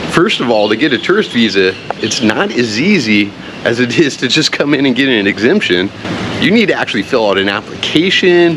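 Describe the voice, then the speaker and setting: A man's medium-pitched voice at a fairly quick pace, very wide pitch swings and very even loudness, over noticeable background noise. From United States. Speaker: vlogger. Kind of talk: casual vlog talk. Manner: animated.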